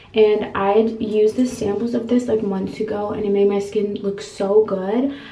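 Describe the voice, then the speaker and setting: Over audible room echo, a woman speaks at a moderate pace with monotone, flat intonation. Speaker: vlogger. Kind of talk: casual vlog chat. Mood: happy, chatty. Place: bathroom.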